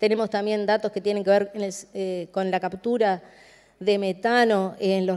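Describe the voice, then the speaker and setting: A woman's medium-pitched voice with a Uruguayan accent, dark and mellow in tone, flat and monotone, at a fairly slow pace. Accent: Rioplatense Spanish (Uruguayan). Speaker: government climate policy specialist. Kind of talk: conference presentation. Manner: hesitant, many fillers.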